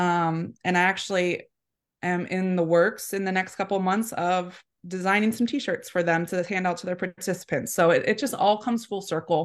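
In an American accent, a woman with an unremarkable speaking voice talks at medium pitch and a moderate pace over a quiet background. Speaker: apparel shop owner. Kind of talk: casual interview chat. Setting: live video call.

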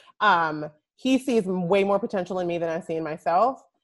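A woman with an American accent and an unremarkable speaking voice talks at a fairly slow pace, her fairly low pitch showing ordinary variation. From US Northeast (North Jersey). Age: 30s. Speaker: DIY blogger and crafts entrepreneur. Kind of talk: casual interview.

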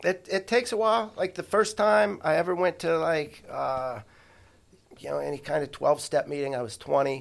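A man talks at a moderate pace with lively intonation and a fairly high pitch. He has an ordinary speaking voice. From Ohio (Columbus area), from age ten; born in St. Louis. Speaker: podcast guest, counselor and writer. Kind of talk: casual interview.

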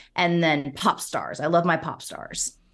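At a moderate pace, a woman with an unremarkable speaking voice and a fairly low pitch speaks against a quiet background. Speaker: pop culture podcaster. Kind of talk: casual chat.

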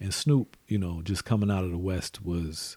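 Somewhat breathy and very deep in pitch, a man speaks at a moderate pace with a dark, mellow tone and fairly even intonation, on a very clean recording with a silent background. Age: 40s. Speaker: podcast host, father of co-host. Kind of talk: casual chat.

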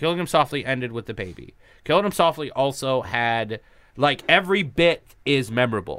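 A man speaks at a moderate pace with a bright, sharp tone and a medium pitch. The recording is very clean, with a silent background. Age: 30s. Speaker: comedian. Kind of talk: casual chat.

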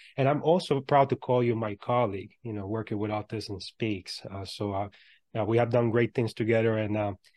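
An ordinary speaking voice moves at a fairly quick pace. The intonation stays fairly even. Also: man, medium pitch for a man. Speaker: podcast host and motivational speaker. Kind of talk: interview.

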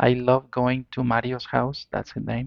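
A man with a Spanish accent speaks at a fairly slow pace. His pitch is medium. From Mexico. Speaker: listener telling own ghost story. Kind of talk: personal storytelling. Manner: halting.

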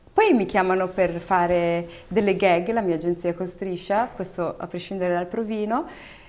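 A woman talks in an ordinary speaking voice. Her pitch is medium and her intonation fairly even. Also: moderate pace. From Morocco, Berber family, raised in Italy from about age 9. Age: 30s. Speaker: TV presenter and actress. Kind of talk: interview. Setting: studio.

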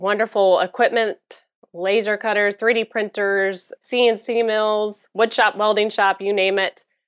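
A woman with an American accent uses a normal speaking voice. The recording is very clean with a silent background and a dry, close sound with no echo. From Florida. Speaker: business incubator president. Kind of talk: interview.

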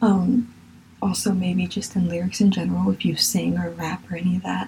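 The voice has a dark, mellow tone with vocal fry, moving at a moderate pace with ordinary pitch variation. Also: woman. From Virginia, US. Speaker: podcast host. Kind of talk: solo monologue podcast, casual. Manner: passionate, gets carried away on topics.

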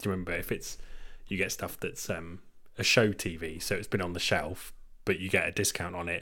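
This man's very deep, low pitch carries a bright, sharp tone, delivered fairly quickly with monotone, flat intonation. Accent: English. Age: 20s. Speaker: podcast co-host. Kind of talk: casual chat.

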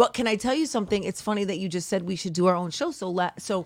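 Lively in intonation, a woman with an unremarkable speaking voice and medium pitch talks on a very clean recording with a silent background. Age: 40s. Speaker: teacher. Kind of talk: casual chat.

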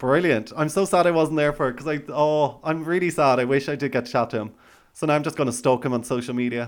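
Speaking at a very fast pace, a man has an Irish accent and a fairly high pitch with ordinary pitch variation. The recording is very clean, with a silent background. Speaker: podcast host. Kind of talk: casual chat.

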